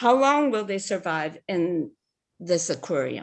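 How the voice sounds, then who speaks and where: Against a quiet background, a woman with a Hawaiian accent speaks at a very slow pace, her pitch swinging very widely. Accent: Hawaii local English. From Hawaii, Big Island (Holualoa, West Hawaii). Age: 70s. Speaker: public testifier. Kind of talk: public testimony. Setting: video call.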